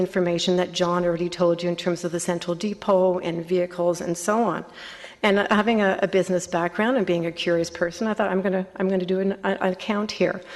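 A woman with a fairly low pitch speaks very fast. Her intonation is monotone and flat, her loudness very even. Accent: Canadian. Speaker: resident delegate at council meeting. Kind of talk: public delegation speech.

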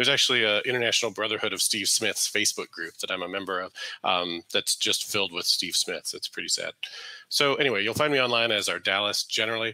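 A man's very fast speech in a dry sound with no echo. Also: quiet background. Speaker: guest. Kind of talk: lecture. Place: home room. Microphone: headset.

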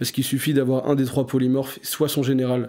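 This voice carries a dark, mellow tone. Nothing else is audible in the very clean recording. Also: man. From France, Essonne (Paris region). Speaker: card game player. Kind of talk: casual interview.

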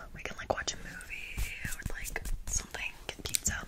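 A soft-spoken woman is whispering. She keeps a moderate pace. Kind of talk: soft roleplay chat. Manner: soft close whisper, ASMR. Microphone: phone near.

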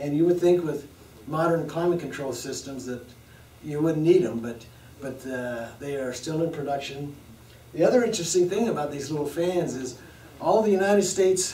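A man speaks at a moderate pace with ordinary pitch variation, over light background noise and audible room echo. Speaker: lecturer. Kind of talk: lecture. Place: classroom.

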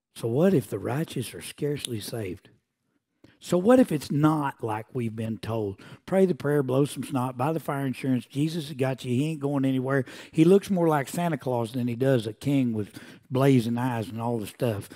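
The man's voice sits at a medium pitch with ordinary pitch variation. His tone is dark and mellow against a quiet background. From Oklahoma. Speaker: preacher. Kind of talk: sermon. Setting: church. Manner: animated. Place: church.

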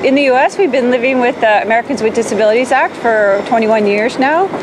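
A woman speaks in a high voice with ordinary pitch variation. Noticeable background noise runs underneath. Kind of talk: interview answer. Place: street.

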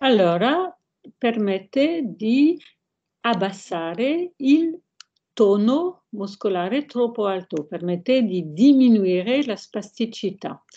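With a French accent, the speaker moves at a very slow pace while the pitch swings very widely. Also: woman. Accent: French-accented Italian. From France. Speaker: hand surgeon; guest. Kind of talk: lecture-style interview with slides. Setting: video call. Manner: halting, hesitant. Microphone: video call.

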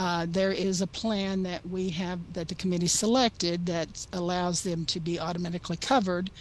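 A woman speaks at a moderate pace in a plain, everyday voice, fairly low in pitch, with fairly even intonation and hardly any pauses. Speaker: pension staff presenter. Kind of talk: board meeting presentation.

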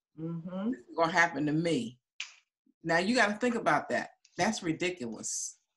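Light background noise sits beneath speech delivered at a moderate pace. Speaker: relationship coach and course teacher. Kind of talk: teaching session. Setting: video call. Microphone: video call.

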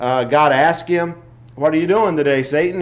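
A man speaks at a fairly quick pace. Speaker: lay teacher. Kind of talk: Sunday school lesson. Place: church. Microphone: podium.

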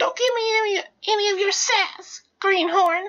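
Putting on a squeaky character voice, a woman speaks at an extremely high pitch and fairly slow pace with fairly even intonation. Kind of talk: nautical, salty slang. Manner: bossy, gruff, scolding.

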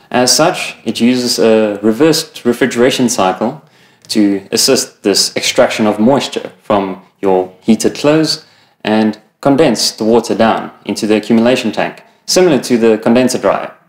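A man at a moderate pace, ordinary pitch variation, audible room echo and a quiet background. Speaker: product trainer. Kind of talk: training presentation. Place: shop.

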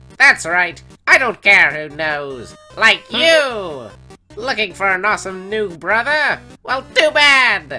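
Faint music plays in the background. A man puts on a high-pitched character voice and speaks at a fairly slow pace. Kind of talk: comic dub character voice.

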